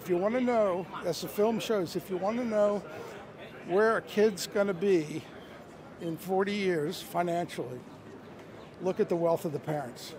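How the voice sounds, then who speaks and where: A man's high voice with ordinary pitch variation, long and frequent pauses, a dry sound with no echo and noticeable background noise. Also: moderate pace. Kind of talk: interview answer. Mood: earnest, persuasive. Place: street. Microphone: handheld.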